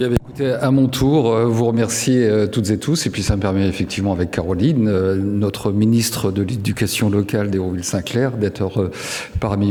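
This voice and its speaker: A man talks in a fairly low voice while noticeable noise sounds in the background. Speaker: local elected official. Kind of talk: award acceptance speech.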